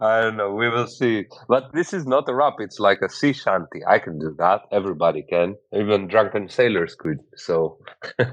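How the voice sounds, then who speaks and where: The speaker has a Greek accent and lively intonation. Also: man, fairly low pitch for a man, moderate pace. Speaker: podcast host. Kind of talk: casual interview chat.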